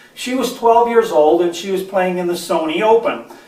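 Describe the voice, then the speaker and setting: A man with a high pitch talks over noticeable background noise. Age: 60s. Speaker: golf instructor. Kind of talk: tutorial. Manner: halting.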